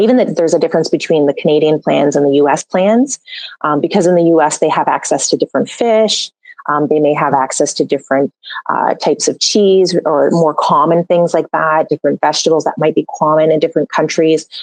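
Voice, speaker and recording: The pace is fairly quick, with ordinary pitch variation. The loudness stays very even, and the sound is dry and close with no echo. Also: woman, very deep, low pitch for a woman. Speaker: holistic nutritionist and metabolic balance coach. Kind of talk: podcast interview.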